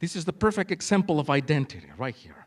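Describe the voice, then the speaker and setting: A man with a Spanish accent, very wide pitch swings, and a very clean recording over a silent background. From Mexico. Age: 40s. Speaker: conference speaker, school cultural specialist. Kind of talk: conference presentation. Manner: animated.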